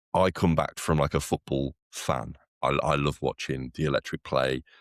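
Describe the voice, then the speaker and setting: Vocal fry comes through in a very clean recording with a silent background and a dry, close sound with no echo. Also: man. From West Midlands, Wolverhampton. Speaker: podcast co-host. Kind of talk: casual chat.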